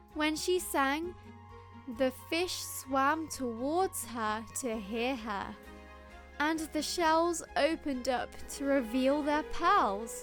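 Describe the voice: Faint music plays in the background as a woman speaks at a slow pace in a high pitch, with a fairly bright tone and lively intonation.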